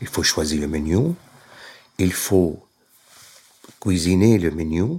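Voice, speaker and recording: In a Syrian accent, a man with a very deep, low pitch speaks very slowly, his dark, mellow tone somewhat breathy and his intonation lively. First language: Arabic (speaking French). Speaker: caterer. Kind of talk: interview. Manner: halting.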